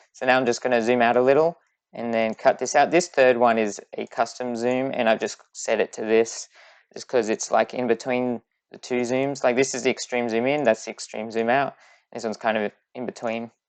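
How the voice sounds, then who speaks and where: A fairly quick pace and fairly even intonation, with a dry, close sound free of echo over a quiet background. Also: woman, very deep, low pitch for a woman. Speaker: video game YouTuber. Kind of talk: tutorial. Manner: fast.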